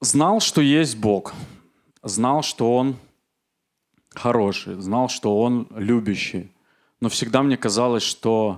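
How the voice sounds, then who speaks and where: Over a quiet background, a man speaks at a very slow pace with long, frequent pauses. His loudness stays very even, and his pitch varies in an ordinary way. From Belarus, Minsk; Belarus. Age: 40s. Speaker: church member giving testimony; speaker. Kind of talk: testimony. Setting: church service. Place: church. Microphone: handheld.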